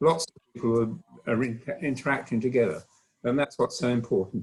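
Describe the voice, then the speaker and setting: There is a dry, close sound with no echo. A man speaks in a somewhat breathy voice. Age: old. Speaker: acoustician. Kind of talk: round table remarks. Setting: conference round table.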